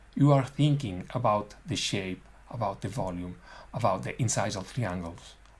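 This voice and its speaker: A man speaks at a fairly slow pace with a non-native accent, his voice somewhat breathy against audible room echo. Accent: non-native English, self-described as bad. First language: not English. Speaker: dental technician. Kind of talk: webinar lecture. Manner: halting.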